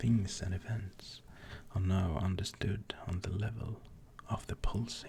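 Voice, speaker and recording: The speaker is soft-spoken. The pace is very slow. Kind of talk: non-fiction reading.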